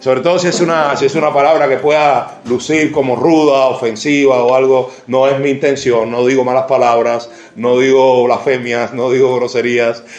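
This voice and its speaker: In a Cuban accent, a man of medium pitch talks with very even loudness and hardly any pauses, amid noticeable background noise and audible room echo. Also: fairly even intonation, moderate pace. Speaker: pastor. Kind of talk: sermon. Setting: church. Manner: halting.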